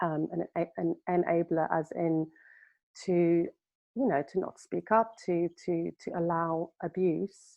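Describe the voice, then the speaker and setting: Speaking at a very slow pace with a South African accent, a woman keeps a fairly low pitch and fairly even intonation. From South Africa, Cape Town. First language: Afrikaans. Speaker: healer. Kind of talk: interview. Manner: halting.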